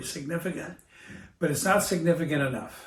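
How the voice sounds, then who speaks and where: A man speaks at a fairly quick pace with an American accent. His voice has vocal fry and ordinary pitch variation. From United States. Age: 70s. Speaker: US Navy veteran. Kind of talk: interview answer.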